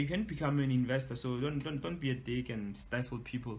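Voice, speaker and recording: Audible room echo surrounds a man whose medium-pitched, somewhat breathy voice shows ordinary pitch variation. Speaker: entrepreneur and author. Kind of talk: webinar talk. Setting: online webinar. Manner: casual, hesitant with fillers; fast.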